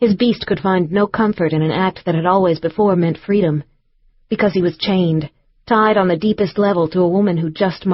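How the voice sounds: Simply a natural reading voice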